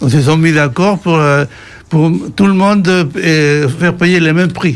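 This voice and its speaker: Speaking in a Spanish accent, a man keeps a moderate pace. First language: Spanish (speaking French). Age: 60s. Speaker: radio panel guest. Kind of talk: radio discussion. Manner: halting, many fillers and repetitions.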